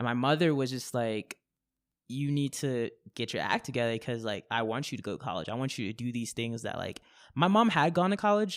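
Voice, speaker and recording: Heard on a very clean recording with a silent background, a man with a normal speaking voice talks at a fairly quick pace in a medium pitch, using lively intonation. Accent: American. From Japan and Florida. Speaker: slam poet. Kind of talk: interview answer. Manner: casual.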